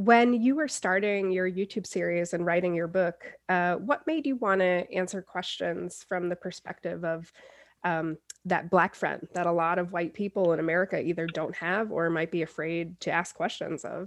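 In an ordinary speaking voice, a woman talks at a moderate pace with a fairly low pitch and ordinary pitch variation against a quiet background. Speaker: magazine editor, interviewer. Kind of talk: interview.

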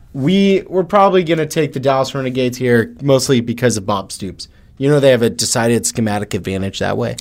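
At a very fast pace, a man with a medium pitch talks with very wide pitch swings. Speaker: podcast host. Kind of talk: casual chat. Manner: joking, teasing.

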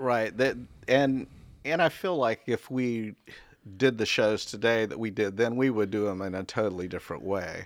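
The recording is very clean with a silent background. A man talks at a moderate pace in a normal speaking voice, medium in pitch with ordinary pitch variation. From North Carolina, Raleigh. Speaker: museum exhibition designer. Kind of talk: casual interview.

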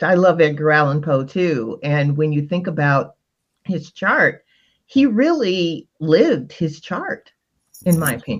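In a normal speaking voice, the speaker talks at a fairly slow pace with lively intonation against a quiet background. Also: woman. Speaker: astrologer and life coach.

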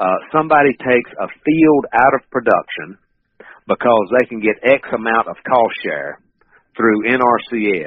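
The speaker has a Southern US accent and ordinary pitch variation. The pace is fairly slow. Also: man. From North Carolina. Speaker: wildlife management professor. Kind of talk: interview.

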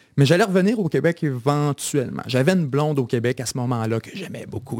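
Lively intonation marks a man speaking with a Quebec accent at a moderate pace. His pitch is fairly high. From Quebec, Bas-Saint-Laurent (Kamouraska). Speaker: media founder. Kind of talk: interview conversation.

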